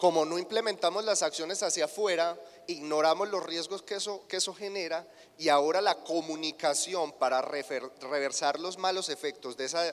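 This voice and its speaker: Speaking with a Colombian accent, a man uses a high pitch and ordinary pitch variation. His moderate pace runs over noticeable background noise. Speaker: agribusiness marketing specialist. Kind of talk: conference keynote lecture.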